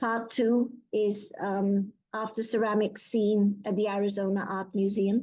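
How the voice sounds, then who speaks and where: A woman speaks at a medium pitch and a fairly slow pace. Her tone is dark and mellow, with monotone, flat intonation. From Pakistan. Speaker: poet. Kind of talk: poetry reading.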